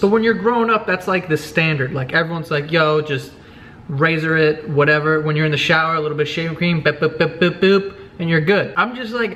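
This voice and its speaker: A man with a high-pitched voice speaks at a fairly quick pace with lively intonation amid noticeable background noise. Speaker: vlogger. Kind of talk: casual vlog monologue. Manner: animated.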